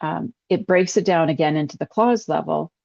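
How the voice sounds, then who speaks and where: With vocal fry and ordinary pitch variation, a woman speaks at a fairly low pitch. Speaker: account executive giving software demo. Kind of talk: webinar product demo. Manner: fast.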